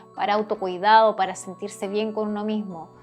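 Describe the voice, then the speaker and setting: The speaker uses a calm tone. Music plays in the background. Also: woman. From South America. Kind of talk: casual talk to camera. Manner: calm, encouraging.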